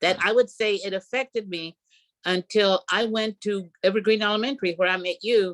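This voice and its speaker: A woman with an American accent and an unremarkable speaking voice, fairly even in intonation and moderate in pace, with a dry, close sound and no echo. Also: medium pitch for a woman. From rural New Mexico, US. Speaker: retired PE teacher. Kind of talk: interview.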